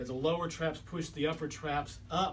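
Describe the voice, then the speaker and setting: A man talks at a moderate pace with fairly even intonation, with music in the background and audible room echo. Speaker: chiropractor and body worker. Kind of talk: lecture.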